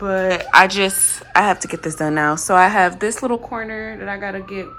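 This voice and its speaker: Noticeable background noise sits under the recording. A woman with a medium-pitched voice talks at a moderate pace. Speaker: home renovation vlogger. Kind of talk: casual vlog narration. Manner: casual with many fillers.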